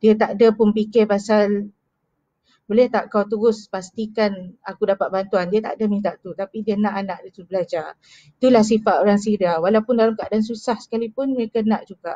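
Against a quiet background, a woman with a dark, mellow tone talks at a fairly quick pace with fairly even intonation, the sound dry with no echo. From Malaysia, Kuching, Sarawak; Sarawak, Malaysia. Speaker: charity marketing executive. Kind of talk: live stream storytelling. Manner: hesitant, many fillers. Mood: earnest, reflective. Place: home room. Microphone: headset.

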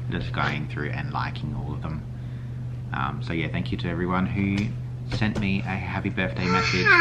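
A man talks at a moderate pace. Music plays in the background. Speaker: family vlogger. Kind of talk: casual vlog chat. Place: kitchen. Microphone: phone near.

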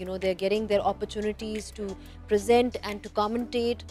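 A woman with a fairly high pitch is heard in dry sound with no echo, with faint music in the background. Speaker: cricket commentator and presenter. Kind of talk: interview answer. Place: stadium. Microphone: handheld.

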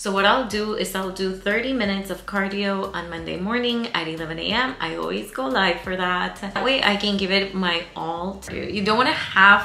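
A woman talks at a moderate pace with hardly any pauses and ordinary pitch variation. Light background noise and audible room echo are present. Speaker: fitness vlogger. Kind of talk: casual vlog chat. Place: home room.

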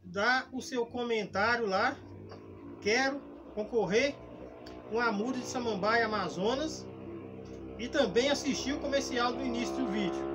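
A man talks at a fairly slow pace with long, frequent pauses while music plays in the background. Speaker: gardening channel host. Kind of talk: tutorial. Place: garden.

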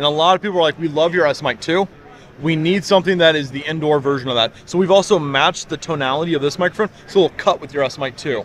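A man's very fast speech with ordinary pitch variation, a dry sound without echo and light background noise. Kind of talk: interview answer. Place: hall. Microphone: handheld.

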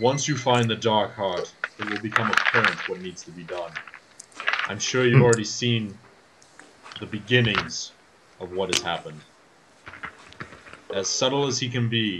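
A man puts on a booming character voice at a medium pitch, speaking at a moderate pace. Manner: haughty, menacing.

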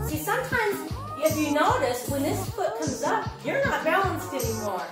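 Clear music plays in the background, and the room echo is audible. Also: woman. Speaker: fitness instructor. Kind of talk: workout instruction. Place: home room. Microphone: camera far.

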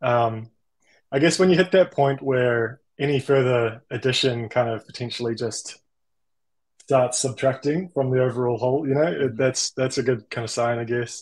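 Against a quiet background, a man with a New Zealand accent speaks at a moderate pace with ordinary pitch variation. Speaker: generative artist; guest. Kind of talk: interview. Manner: halting, with many fillers. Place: home room. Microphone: video call.

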